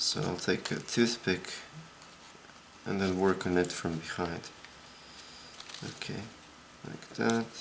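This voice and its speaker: Talking at a fairly slow pace with long, frequent pauses, a man uses a very deep, low pitch. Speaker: origami tutorial maker. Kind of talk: tutorial. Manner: monotone; quiet, soft-spoken.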